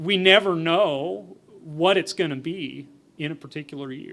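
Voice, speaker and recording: A man speaks with a fairly high pitch. The pitch shifts in an ordinary way. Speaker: entomologist giving a presentation. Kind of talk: conference presentation with Q&A. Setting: forum stage with audience. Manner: mumbling; conversational, with fillers and repetitions.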